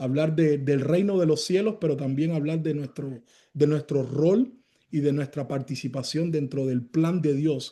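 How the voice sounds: A man's dark, mellow voice at a fairly high pitch, with ordinary pitch variation.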